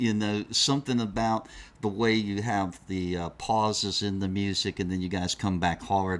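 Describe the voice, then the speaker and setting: The recording is very clean, with a silent background. A man with a fairly low pitch speaks fairly slowly, using ordinary pitch variation. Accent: Southern US. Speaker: metal magazine interviewer. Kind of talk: casual interview.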